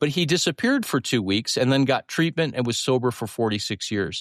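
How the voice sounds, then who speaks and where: A man talks at a medium pitch with lively intonation in a plain, everyday voice. The sound is dry and close with no echo, and the background is quiet. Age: 60s. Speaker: therapist and podcast host. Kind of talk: conversational teaching.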